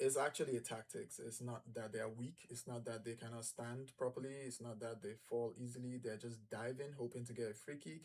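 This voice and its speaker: Here a man talks at a moderate pace, somewhat breathy. His intonation stays monotone and flat. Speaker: football channel host. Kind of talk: live match watch-along commentary.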